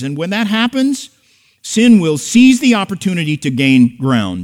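Speaking at a moderate pace, a man uses a high pitch. His pitch swings very widely. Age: 60s. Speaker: pastor. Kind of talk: sermon. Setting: church.

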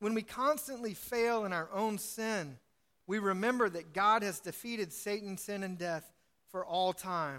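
A man's bright, sharp voice, high in pitch, with ordinary pitch variation and a fairly slow pace. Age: 40s. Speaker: pastor. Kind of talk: sermon. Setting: church.

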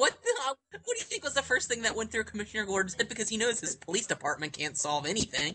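Over noticeable background noise, a man talks at a very fast pace with hardly any pauses, using a raised, projected voice that is high-pitched and has lively intonation. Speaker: co-host. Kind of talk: casual chat.

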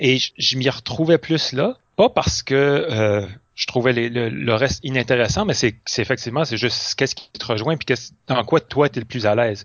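Here a man talks at a medium pitch and a moderate pace. His pitch varies in an ordinary way. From Moncton area, New Brunswick (Acadia). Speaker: improv actor. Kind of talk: casual interview. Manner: hesitant, many fillers and repetitions.

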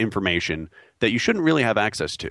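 A man is talking. He speaks with an American accent. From New York. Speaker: network security engineer, panel regular. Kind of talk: technical panel discussion. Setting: studio.

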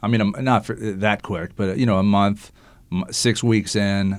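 A man speaks in an ordinary speaking voice, fairly low in pitch, with fairly even intonation at a moderate pace. The recording is very clean, with a silent background. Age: 50s. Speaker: radio talk show host. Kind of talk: casual interview. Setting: studio.

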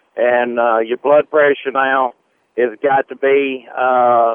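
A man speaks with a monotone, flat intonation. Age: 50s. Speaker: self-employed truck driver. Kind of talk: call-in health question. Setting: phone call. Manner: halting, heavy uh fillers, stammers.

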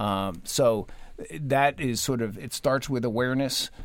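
A man's unremarkable speaking voice at a fairly slow pace, with ordinary pitch variation, on a very clean recording against a silent background. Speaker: education association executive. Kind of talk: radio panel discussion.

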